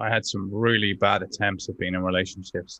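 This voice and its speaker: A man with a Dublin accent speaks in a fairly low pitch with ordinary pitch variation. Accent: Dublin Irish. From Dublin, Ireland (Northside). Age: 40s. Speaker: entrepreneur and personal development coach. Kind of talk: personal testimony in interview. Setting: remote call from home office. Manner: hesitant, many fillers and repetitions.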